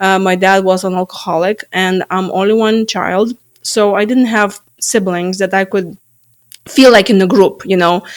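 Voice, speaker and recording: A woman speaks with a Lithuanian accent. Her pace is moderate and her intonation fairly even. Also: medium pitch for a woman. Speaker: stress management coach. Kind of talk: interview. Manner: halting.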